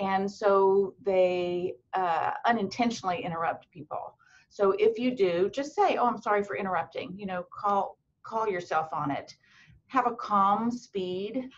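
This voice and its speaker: At a fairly slow pace, a woman speaks with medium pitch and ordinary pitch variation. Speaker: medical school admissions dean. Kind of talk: webinar talk. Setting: video web chat. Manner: long-winded.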